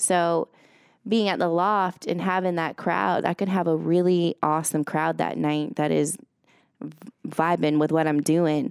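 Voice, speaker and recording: A woman speaks in a normal speaking voice at a fairly low pitch. Her pace is fairly slow, with ordinary pitch variation. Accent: American. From upstate New York. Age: 30s. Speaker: DJ. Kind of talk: casual interview. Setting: studio.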